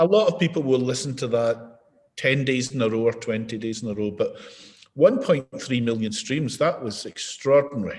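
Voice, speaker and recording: The pace is moderate and the accent Scottish. Pitch variation is ordinary. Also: man, medium pitch for a man. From Scotland. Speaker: mindfulness and behaviour change expert. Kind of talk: interview answer. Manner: conversational, relaxed.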